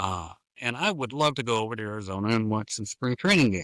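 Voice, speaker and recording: A man at a fairly low pitch, in a very clean recording with a silent background. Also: dry, close sound with no echo. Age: 60s. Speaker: sportswriter. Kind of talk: casual chat.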